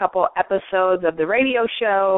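Using a plain, everyday voice, a woman with an American accent speaks at medium pitch and a moderate pace with fairly even intonation. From US Midwest (St. Paul, Minnesota). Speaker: talk show host and coach. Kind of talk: interview, casual chat.

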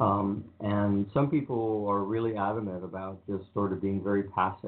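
A fairly low-pitched male voice with fairly even intonation and audible room echo. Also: moderate pace.

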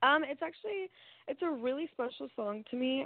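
Very wide pitch swings in an American accent, at a moderate pace. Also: woman. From Texas, Amarillo. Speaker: singer-songwriter. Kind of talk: interview. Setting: phone call.

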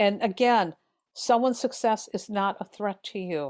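In a very clean recording with a silent background, a woman speaks at a moderate pace. She has a plain, everyday voice with lively intonation. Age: 50s. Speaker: tarot reader and author. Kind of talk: casual chat.

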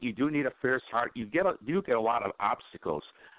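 A man with an American accent talks fairly quickly at a medium pitch, his intonation lively. It is an ordinary speaking voice. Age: 50s. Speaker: internet radio host. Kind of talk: casual talk radio. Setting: online radio call-in show.

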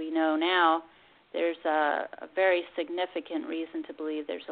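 Talking at a moderate pace, a woman with an American accent has a normal speaking voice and a fairly low pitch. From Pennsylvania. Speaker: master gardener and food activist. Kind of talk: radio interview.

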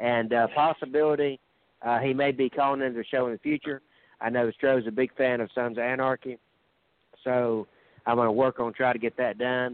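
Flat, monotone intonation carries speech that moves fairly quickly. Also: man, medium pitch for a man. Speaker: caller and wrestling fan. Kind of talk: casual chat. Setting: phone call.

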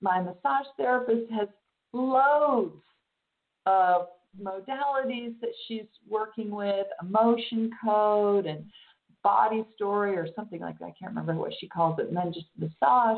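Using an unremarkable speaking voice, a woman talks at a fairly high pitch and a fairly slow pace with lively intonation. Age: 50s. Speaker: spiritual channel and teacher. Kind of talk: casual chat.

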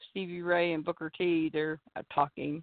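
Fairly slow and fairly low in pitch, a woman talks in an American accent. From US Midwest. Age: 50s. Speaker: wrestling fan and show regular. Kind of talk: casual chat. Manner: animated.

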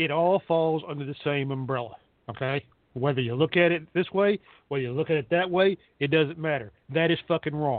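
A man talks at a fairly quick pace. His pitch is fairly high, with ordinary variation.

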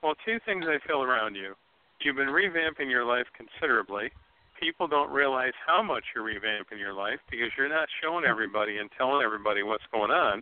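A man with an American accent speaks in a normal speaking voice at medium pitch, moving at a fairly quick pace with lively intonation. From Ohio. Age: 60s. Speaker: psychic medium. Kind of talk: psychic reading on call-in radio.

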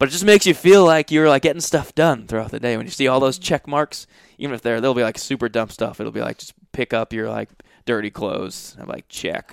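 Speaking at a fairly quick pace with an American accent, the voice shows vocal fry, lively intonation and big swings in loudness, with a dry, close sound, no echo, and a very clean recording over a silent background. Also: man, medium pitch for a man. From Massachusetts, Providence area. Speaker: comedian and actor. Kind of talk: casual chat.

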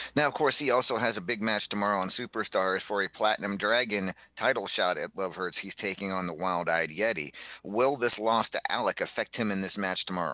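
Using a normal speaking voice, a man talks at a fairly quick pace. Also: fairly low pitch for a man, ordinary pitch variation. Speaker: podcast host of a wrestling roleplay show. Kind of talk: casual in-character chat show.

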